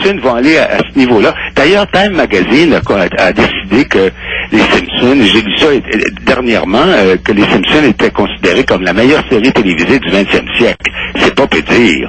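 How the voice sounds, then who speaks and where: A man's pitch swings very widely while his loudness stays very even. He keeps a moderate pace over noticeable background noise. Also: medium pitch for a man. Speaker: voice actor. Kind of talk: interview answer.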